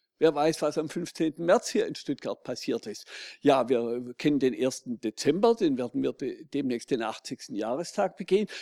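Recorded dry and close with no echo against a silent background, a man speaks fairly slowly in a dark, mellow tone with lively intonation. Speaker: audience member, civic activist. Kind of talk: audience question. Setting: stage with audience.

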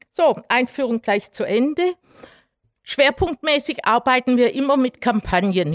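A woman's high-pitched voice with a Swabian accent, lively intonation and a fairly slow pace, in a dry, close sound with no echo. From Swabia, Germany (Herrenberg). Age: 60s. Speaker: human rights activist, mathematician. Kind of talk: lecture. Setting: public talk with audience.

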